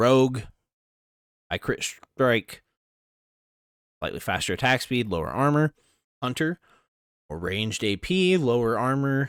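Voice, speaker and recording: Pausing long and often, a man with a medium pitch and lively intonation is heard in a dry, close sound with no echo and a very clean recording with a silent background. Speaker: gaming YouTuber. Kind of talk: reading aloud and commenting on an article. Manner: fast.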